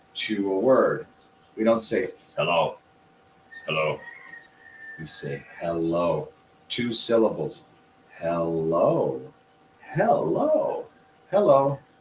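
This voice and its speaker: A man speaks at a very slow pace with an American accent. Noticeable background noise sits behind him. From US Midwest. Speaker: English teacher. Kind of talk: livestream lesson. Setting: livestream. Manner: clear, deliberate intonation.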